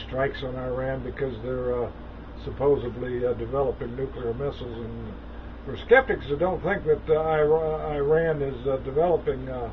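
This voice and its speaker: A man talks at a moderate pace. Noticeable background noise accompanies his voice. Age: 60s. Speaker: religious video blogger. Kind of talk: casual monologue on news and prophecy. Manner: halting, many fillers.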